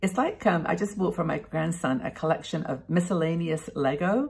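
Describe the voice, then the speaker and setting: A woman's somewhat breathy voice with lively intonation at a moderate pace, against a quiet background. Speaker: vlogger. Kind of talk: casual vlog chat. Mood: warm, cheerful. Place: home room. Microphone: webcam.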